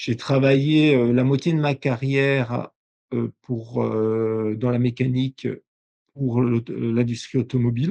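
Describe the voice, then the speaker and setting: Very slowly and at very even loudness, a man speaks at medium pitch with fairly even intonation and a dark, mellow tone. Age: 60s. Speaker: industrial company owner. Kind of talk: podcast interview. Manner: halting, many hesitations.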